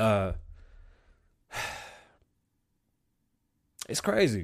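A man talks at a very slow pace with fairly low pitch, big pitch swings and vocal fry, in a very clean recording with a silent background.

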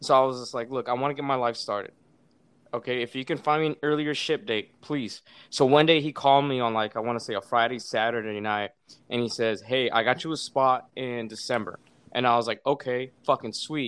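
Using a plain, everyday voice, a man speaks at medium pitch with fairly even intonation. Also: fairly quick pace. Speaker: Marine veteran, podcaster. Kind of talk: casual interview chat.

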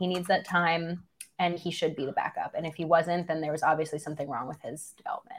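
The speaker is a woman with an American accent. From New York. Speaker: podcast co-host on a live show.

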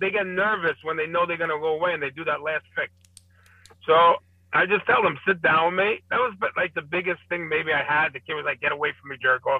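A man in a Brooklyn accent, with a high pitch, ordinary pitch variation and a fairly quick pace. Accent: New York (Brooklyn). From Brooklyn, New York. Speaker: addiction outreach worker. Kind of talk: casual chat.

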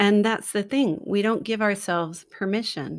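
An ordinary speaking voice from a woman with an American accent, medium in pitch, with ordinary pitch variation and a fairly slow pace. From US, San Francisco. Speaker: children's book author. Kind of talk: casual interview. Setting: remote call.

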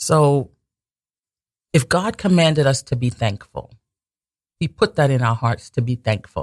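A man speaks at a fairly high pitch and a fairly slow pace, with long, frequent pauses and lively intonation. His voice is somewhat breathy, and the sound is dry and close with no echo. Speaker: radio host. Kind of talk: religious talk radio show. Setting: radio studio. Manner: pausing, swallowing often.

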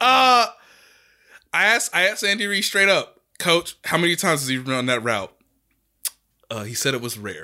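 Loud and animated, a man with a high pitch and bright, sharp tone makes very wide pitch swings at a moderate pace. He leaves long, frequent pauses in a very clean recording with a silent background. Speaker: sports journalist and podcast co-host. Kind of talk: casual chat.

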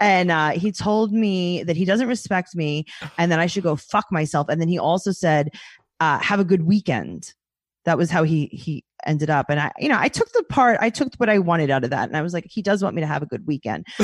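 A woman talks at a fairly quick clip with a New York accent and lively intonation. Her pitch is fairly low, and the sound is dry and close with no echo. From New York City. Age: 30s. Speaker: comedian and podcast host. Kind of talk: casual chat. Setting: video call.

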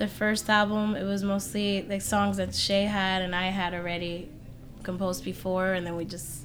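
Audible room echo accompanies speech delivered at a moderate pace. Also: woman. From Puerto Rico. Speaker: musician. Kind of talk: casual chat. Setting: music venue.

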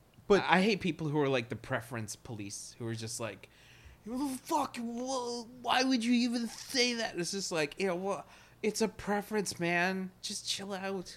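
This man's high voice swings very widely in pitch while he keeps a moderate pace. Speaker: podcast co-host. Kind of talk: casual banter. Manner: animated.

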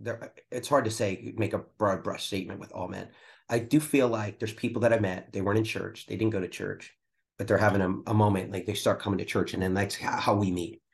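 Over a quiet background, a man with an American accent speaks fairly quickly at a fairly low pitch, somewhat breathy and with fairly even intonation. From US Northeast, Philadelphia area. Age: 50s. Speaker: pastor. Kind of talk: casual chat.

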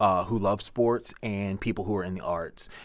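A man with an American accent speaks at a moderate pace, his pitch fairly low and his intonation fairly even. The recording is very clean, with a silent background. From Baltimore, Maryland. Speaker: professional wrestler. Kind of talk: casual interview. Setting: studio. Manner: soft-spoken; halting, many fillers.

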